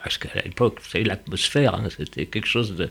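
Fairly low in pitch and somewhat breathy, a man speaks with lively intonation. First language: Yiddish (speaking French). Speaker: painter and Holocaust-era witness. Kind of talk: testimony interview. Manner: halting, repetitive.

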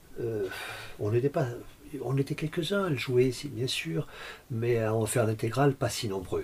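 A man's somewhat breathy voice at medium pitch, with lively intonation, a moderate pace and long, frequent pauses. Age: 60s. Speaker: concert pianist and music teacher. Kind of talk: interview. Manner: halting, many repetitions and hesitations.

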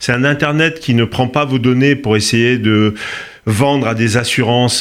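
In an unremarkable speaking voice, a man talks at a fairly slow pace and a medium pitch, with ordinary pitch variation. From Corsica. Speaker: tech company founder. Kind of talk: interview.

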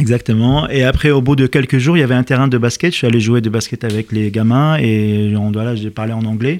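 A man talks in an Arabic accent at medium pitch. His pace is fairly quick, with ordinary pitch variation. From Lebanon (Lebanese diaspora, born in Liberia). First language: Arabic (speaking French). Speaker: chef. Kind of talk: radio interview. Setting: radio studio.

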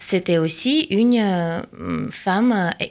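A woman talks with ordinary pitch variation at a medium pitch, recorded very cleanly against a silent background. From Russia, Saint Petersburg. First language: Russian (speaking French). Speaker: translator and researcher. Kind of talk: radio interview.

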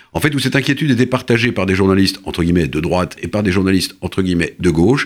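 A man with a very deep, low voice talks at a very fast clip with lively intonation. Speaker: author and essayist. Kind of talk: interview. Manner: halting, many repetitions and hesitations.

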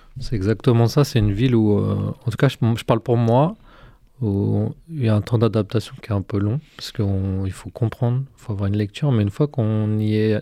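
A man speaks at a moderate pace in a fairly low, dark, mellow tone. His pitch varies in an ordinary way on a very clean recording with a silent background. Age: 40s. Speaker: youth social work manager. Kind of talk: radio interview. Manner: hesitant, many fillers.

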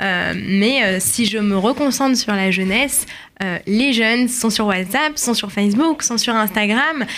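Noticeable background noise runs behind a woman with a fairly high pitch and ordinary pitch variation. She speaks at a very slow pace, her loudness very even. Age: 20s. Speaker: community manager. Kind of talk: radio interview.

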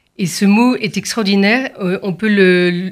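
Speaking at a fairly slow pace, a woman has a somewhat breathy, medium-pitched voice. Her pitch moves in an ordinary way. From France, Paris area and Provence. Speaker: concert pianist. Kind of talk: radio interview.

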